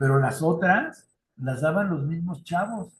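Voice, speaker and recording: With a Mexican accent, a man speaks fairly slowly in a fairly high voice. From Mexico. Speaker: youth ministry trainer. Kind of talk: lecture. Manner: conversational.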